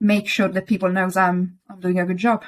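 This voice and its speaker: Against a silent background in a very clean recording, a woman with an Italian accent speaks in a medium pitch with monotone, flat intonation. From Italy. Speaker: interior designer. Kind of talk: interview. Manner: hesitant, with some stumbles.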